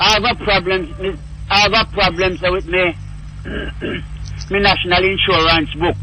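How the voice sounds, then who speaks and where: In a Jamaican accent, a man with a high pitch uses a raised, projected voice at a fairly slow pace, with long, frequent pauses and very even loudness over noticeable background noise. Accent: Jamaican English with patois features. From Jamaica, Saint Mary. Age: 70s. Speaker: caller. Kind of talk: call-in radio conversation.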